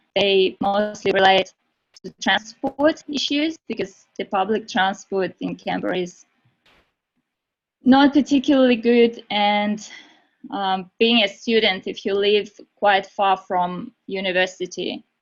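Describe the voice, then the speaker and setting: A woman with a Russian accent at a fairly slow pace. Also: medium pitch for a woman, ordinary pitch variation. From Russia (Moscow). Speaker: university student. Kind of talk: webinar presentation.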